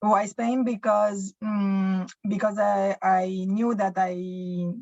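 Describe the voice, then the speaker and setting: Dry and close with no echo, a woman's somewhat breathy voice at a medium pitch comes out in a monotone, flat intonation. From Romania, Bucharest. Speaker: small business owner. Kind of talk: interview. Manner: halting.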